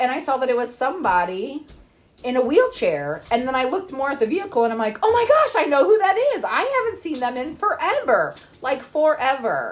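A woman's high-pitched voice at a fairly quick pace, with very wide pitch swings and noticeable background noise. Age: 30s. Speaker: podcast co-host. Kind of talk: casual chat.

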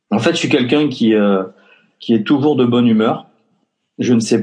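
Ordinary pitch variation in a man's voice with a dark, mellow tone. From Basque Country. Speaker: entrepreneur. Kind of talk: interview. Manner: hesitant, many fillers.

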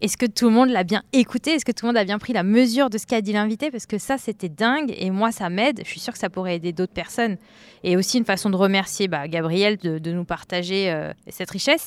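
A woman talks at a very fast pace with lively intonation. The sound is dry and close, with no echo. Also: medium pitch for a woman. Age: 30s. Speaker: account manager and podcaster. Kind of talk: casual chat.

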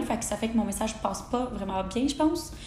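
A woman speaks at a moderate pace in a Quebec accent. Noticeable background noise and audible room echo fill the recording. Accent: Québécois French. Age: 20s. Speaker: podcast host, human design enthusiast. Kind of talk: casual monologue.

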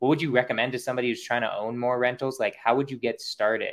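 Medium-pitched male speech at a fairly quick pace over a quiet background. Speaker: podcast host. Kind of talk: casual interview chat. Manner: energetic, hyped.

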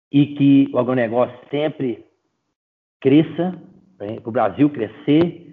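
Moderate pace and ordinary pitch variation from a male speaker. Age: 30s. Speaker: agribusiness sales representative. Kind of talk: casual interview chat. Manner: animated.

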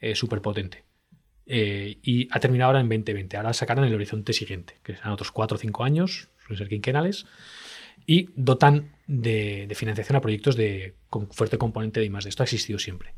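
Somewhat breathy and fairly quick, the voice shows ordinary pitch variation on a very clean recording with a silent background. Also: man, medium pitch for a man. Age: 40s. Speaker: tech entrepreneur and CEO. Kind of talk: interview.

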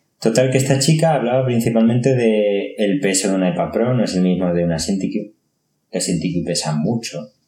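A man speaks in a fairly low pitch. Music plays in the background. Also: lively intonation, moderate pace. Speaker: tech podcast host. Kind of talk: casual chat.

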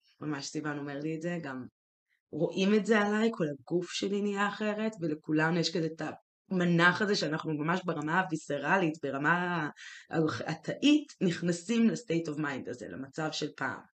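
A woman's fairly low voice moves at a moderate pace, its pitch rising and falling in an ordinary way. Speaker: podcast co-host. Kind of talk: casual chat. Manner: dominant, leading.

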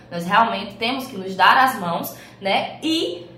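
Audible room echo surrounds a woman's voice. Noticeable background noise is present too. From Paraíba, Brazil. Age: 20s. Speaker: criminal lawyer. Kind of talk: interview.

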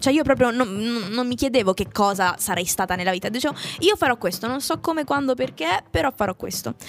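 Fairly high in pitch, a woman speaks in an animated tone with lively intonation. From Italy. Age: young. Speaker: voice actress, singer and actress. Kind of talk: casual chat.

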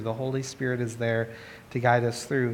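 Audible room echo surrounds a man as he speaks. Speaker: pastor. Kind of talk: sermon.

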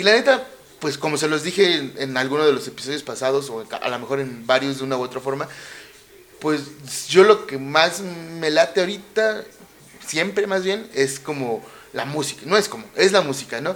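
With lively intonation and a fairly high pitch, a man talks at a moderate speed against noticeable background noise. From Mexico City. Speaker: podcast host. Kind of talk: casual monologue. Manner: animated.

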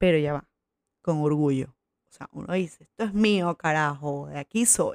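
In a Venezuelan accent, a woman with a very deep, low pitch talks at a moderate pace with ordinary pitch variation, the sound dry and close with no echo. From Venezuela, Coro (Falcón). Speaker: podcast host. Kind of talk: casual monologue. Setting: at her mother's house.

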